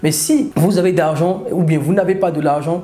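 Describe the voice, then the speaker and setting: With a Beninese accent, a man speaks at a high pitch and moderate pace with ordinary pitch variation, amid noticeable background noise and audible room echo. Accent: African (Beninese) French. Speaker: e-commerce coach. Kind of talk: tutorial.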